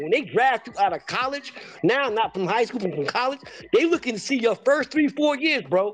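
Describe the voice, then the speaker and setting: A man is speaking over noticeable background noise. His pitch swings very widely. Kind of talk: heated debate. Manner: emphatic, insistent, impassioned.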